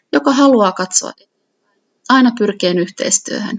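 A woman at a moderate pace, in an unremarkable speaking voice. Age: 40s. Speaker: local politician. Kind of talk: reading aloud.

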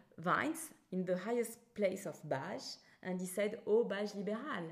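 With a French accent, a woman talks at a medium pitch. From France; Bordeaux. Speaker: winemaker. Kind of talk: casual interview.

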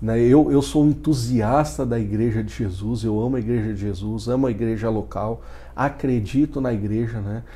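Medium-pitched male voice, somewhat breathy and dark and mellow in tone, with fairly even intonation, a moderate pace and audible room echo. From Lapa, Paraná, Brazil. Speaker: missionary and football coach. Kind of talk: interview testimony.

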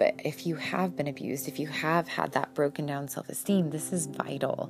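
Using a hoarse put-on character voice with very deep, low pitch and lively intonation, a woman speaks at a moderate pace over light background noise.

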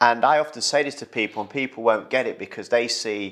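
On a very clean recording with a silent background, a man with an East Midlands accent talks fairly quickly at a medium pitch. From Retford, Nottinghamshire, England. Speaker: podcast host, former footballer. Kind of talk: casual chat.

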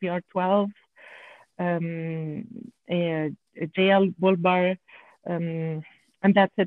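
With a French accent, a woman speaks at a medium pitch in a monotone, flat intonation. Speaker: off-road enthusiast and engineer. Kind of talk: interview. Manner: halting.

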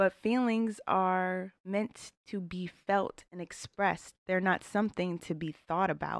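A woman with a medium pitch talks at a fairly slow pace with hardly any pauses and fairly even intonation, in a very clean recording with a silent background and a dry, close sound with no echo. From US, Northern Virginia (DC area). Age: 20s. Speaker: podcast host. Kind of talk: solo monologue, casual reflective talk.

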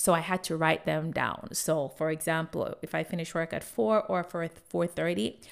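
This woman has a fairly low pitch and an animated tone. She talks at a moderate pace. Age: 40s. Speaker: fitness coach. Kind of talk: solo podcast monologue. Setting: home office.

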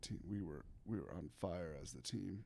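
Speaking at a fairly slow pace, a man with an American accent has a dark, mellow tone. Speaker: professional baseball pitcher. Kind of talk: casual chat.

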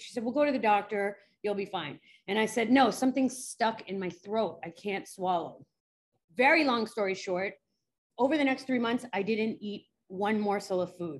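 A woman's fairly high voice with a New York accent, ordinary pitch variation and a moderate pace. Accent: New York American. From New York City. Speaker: forensic psychologist. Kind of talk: interview. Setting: remote call.

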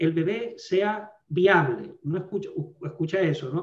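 The man speaks with a high pitch. His pitch varies in an ordinary way. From Venezuela. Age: 50s. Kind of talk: podcast interview, teaching talk.

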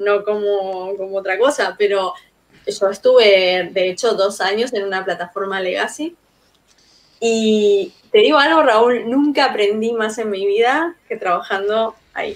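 In an unremarkable speaking voice of medium pitch, a woman talks at a fairly slow pace with ordinary pitch variation. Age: 40s. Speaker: frontend architect. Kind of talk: casual interview.

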